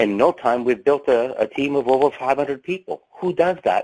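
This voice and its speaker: A man is speaking. The sound is dry and close with no echo. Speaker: business owner. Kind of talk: testimony. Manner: fast.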